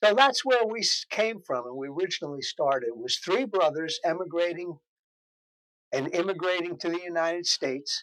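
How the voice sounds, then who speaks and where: Pitched high, a man speaks with a New Jersey accent at a moderate pace with lively intonation, in a dry, close sound with no echo. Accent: New Jersey American. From New Jersey, Morristown. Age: 70s. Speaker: interviewee, longtime local resident. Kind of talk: interview. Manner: hesitant, with filler words.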